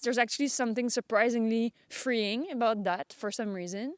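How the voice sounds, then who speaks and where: A woman's fairly high voice at a moderate pace, with ordinary pitch variation, on a very clean recording with a silent background. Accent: French Canadian. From Quebec, suburbs of Montreal. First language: French. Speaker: vlogger. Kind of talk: casual vlog monologue. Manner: halting.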